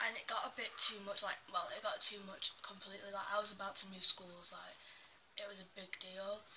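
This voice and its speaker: A woman talks at a fairly quick pace with big swings in loudness. Noticeable background noise is present. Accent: Manchester. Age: young. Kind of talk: casual talk to camera.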